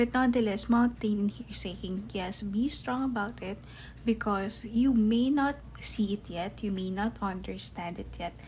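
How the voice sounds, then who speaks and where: A somewhat breathy woman's voice with a non-native accent, medium in pitch, with ordinary pitch variation and a fairly slow pace. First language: not English. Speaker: tarot reader. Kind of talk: tarot reading to camera.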